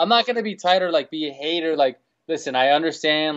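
A man with a New York accent at a very fast pace, ordinary pitch variation and light background noise. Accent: New York City. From New York City. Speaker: DJ; podcast guest. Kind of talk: casual chat. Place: office. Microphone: video call.

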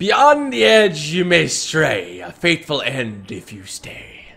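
Putting on a theatrical character voice, a man speaks fairly slowly at a fairly high pitch. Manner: theatrical, pirate voice.

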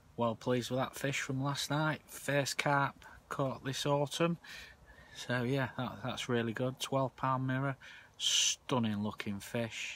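A man speaks at a very slow pace with fairly even intonation, and the sound is dry with no echo. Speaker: angler vlogger. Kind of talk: casual vlog chat. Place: tent. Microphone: phone near.

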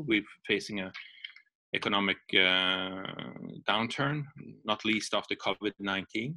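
Against a quiet background, a man with a bright, sharp tone speaks with fairly even intonation. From Sweden. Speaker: security policy expert; guest. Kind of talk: webinar lecture. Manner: halting. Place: home room. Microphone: webcam.

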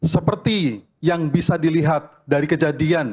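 Very slowly, a man speaks in a fairly high voice with ordinary pitch variation. The background is quiet. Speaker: religious leader. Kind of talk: reading aloud a formal declaration. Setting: stage with audience at a ceremony. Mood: solemn, measured. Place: hall. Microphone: podium.

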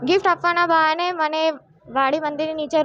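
Noticeable background noise runs behind this recording. A woman speaks with fairly even intonation. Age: 20s. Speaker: complainant in abuse case. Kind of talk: testimony. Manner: halting.

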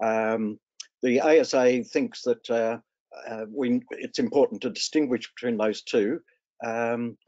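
A man with an Australian accent talks against a quiet background. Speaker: care leaver advocate. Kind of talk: webinar panel discussion. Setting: video call. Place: home room. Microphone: video call.

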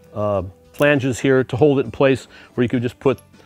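A man speaks fairly quickly, his voice dry and echo-free, with faint music playing behind him. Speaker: car show host. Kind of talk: tutorial. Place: garage.

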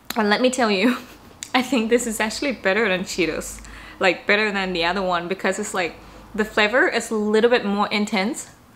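A woman talks at a fairly quick pace. Her pitch is fairly high, with ordinary variation. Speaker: travel vlogger. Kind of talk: casual vlog chat. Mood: pleased, tasting. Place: home room.

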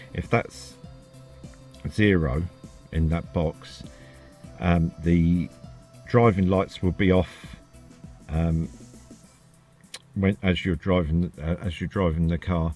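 A man speaks at a very slow pace with long, frequent pauses and ordinary pitch variation. His pitch is very deep and low, with music in the background. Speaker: car hobbyist. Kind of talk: screen-recorded software tutorial. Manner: hesitant, lots of fillers.

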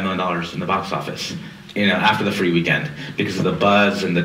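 A man talks at a very fast pace. Room echo is audible around his voice. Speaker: panelist. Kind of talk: lecture. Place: hall.

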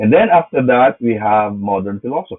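Against a quiet background, a man speaks at a moderate pace in a fairly low pitch with ordinary pitch variation. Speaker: philosophy lecturer. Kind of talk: lecture. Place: home room. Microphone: webcam.

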